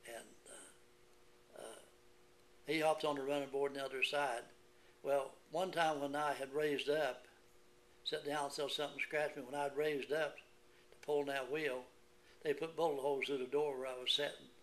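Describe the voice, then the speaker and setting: A man speaks with an Appalachian accent. His intonation is monotone and flat. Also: fairly high pitch for a man, moderate pace. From West Virginia. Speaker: Korean War veteran. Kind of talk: oral history interview answer.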